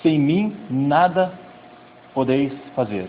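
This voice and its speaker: Ordinary pitch variation in a man's fairly high-pitched speech. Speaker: youth pastor. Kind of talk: sermon.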